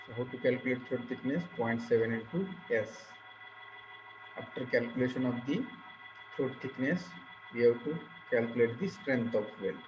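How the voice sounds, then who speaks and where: A man with a Marathi accent at medium pitch, ordinary pitch variation, a moderate pace, long and frequent pauses, noticeable background noise and audible room echo. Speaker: engineering lecturer. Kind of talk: lecture.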